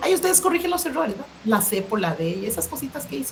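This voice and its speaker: There is noticeable background noise and audible room echo as a woman speaks at a fairly high pitch. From Costa Rica. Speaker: education specialist. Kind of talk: lecture.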